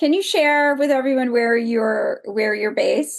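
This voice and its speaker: With an American accent, a woman speaks in a high voice. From United States. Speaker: podcast host, doctor. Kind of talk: interview conversation.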